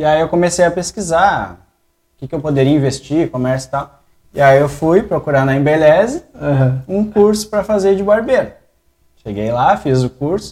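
With an ordinary speaking voice, a man talks at a moderate pace, fairly high in pitch, with lively intonation. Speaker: barbershop owner. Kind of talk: casual chat. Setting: barbershop studio.

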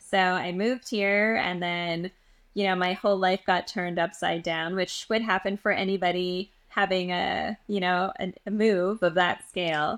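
In a very clean recording with a silent background, a woman with a Canadian accent talks at a moderate pace in a monotone, flat intonation. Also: medium pitch for a woman. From Western Canada (Edmonton, Alberta). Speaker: energy healer. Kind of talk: casual chat.

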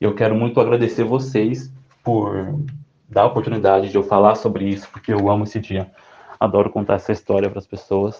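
With a dark, mellow tone and fairly low pitch, a man speaks at a fairly quick pace broken by long, frequent pauses. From São Paulo, Brazil. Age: 20s. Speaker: music fan telling a concert story. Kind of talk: personal story, pre-recorded.

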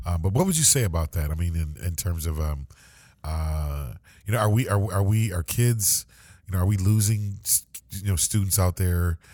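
A man with a very deep, low pitch and a dark, mellow tone sounds somewhat breathy in a very clean recording with a silent background. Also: ordinary pitch variation, moderate pace. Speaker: podcast host for a school district. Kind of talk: casual interview chat. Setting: podcast studio. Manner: halting, many fillers.

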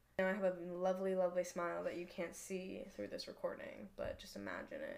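Talking at a fairly quick pace, a woman speaks with an American accent. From Northern California, Marin County. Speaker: college student podcaster. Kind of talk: casual chat. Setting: bedroom, recorded on a laptop. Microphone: laptop mic.

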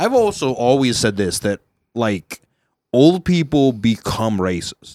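This is a man with an unremarkable speaking voice at a medium pitch. His intonation is lively and his pace fairly slow. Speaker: podcast host. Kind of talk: casual comedic banter. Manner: rambling, jokey, filler-heavy.

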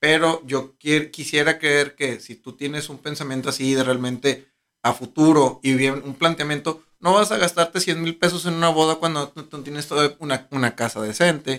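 A man with a Mexican accent talks at a moderate pace, pitched fairly high with fairly even intonation. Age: 30s. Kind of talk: casual chat.

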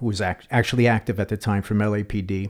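A man with a New York accent speaks in a dark, mellow tone. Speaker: retired police detective. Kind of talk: podcast interview.

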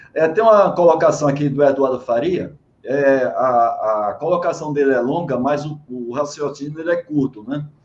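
With a plain, everyday voice, a man talks at a moderate pace, his pitch fairly high and his pitch variation ordinary. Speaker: live-stream host, management and quality. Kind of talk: online interview. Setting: video call live stream.

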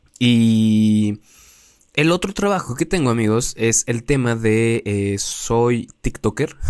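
A man speaks at a very slow pace with very even loudness. His pitch is medium, with ordinary pitch variation. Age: 20s. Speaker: podcaster and content creator. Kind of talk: casual monologue. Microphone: new mic propped up on pencils.

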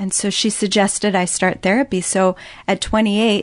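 A woman speaks in an ordinary speaking voice at medium pitch, with a dry, close sound without echo and a quiet background. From US Midwest. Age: 30s. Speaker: guest sharing personal story of abuse and recovery. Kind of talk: testimony.

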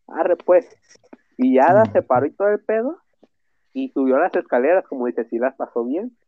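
A man's fairly high voice at a fairly quick pace, with very wide pitch swings and long, frequent pauses. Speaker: podcast co-host. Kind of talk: casual chat.

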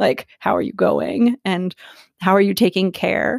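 A woman with an American accent, medium-pitched, with vocal fry, in a dry, close sound with no echo. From Philadelphia. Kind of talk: interview.

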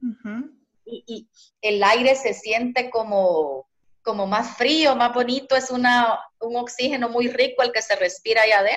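In a Guatemalan accent, a woman talks at a moderate pace, her pitch high with ordinary variation. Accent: Guatemalan, sing-song. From eastern Guatemala, Zacapa. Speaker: social worker and poet. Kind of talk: casual interview. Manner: sing-song.

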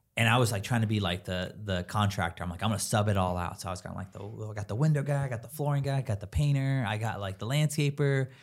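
Speaking at a very fast pace with hardly any pauses, a man with an American accent and a fairly low pitch shows ordinary pitch variation in a very clean recording with a silent background. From Southern California, Escondido. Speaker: real estate agent and investor. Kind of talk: casual interview.

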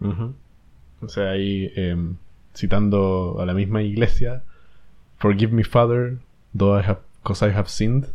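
Speaking with a Chilean accent, a man uses a dark, mellow tone at a fairly low pitch, with fairly even intonation, a fairly slow pace and long, frequent pauses. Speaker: podcast co-host. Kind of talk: casual chat.

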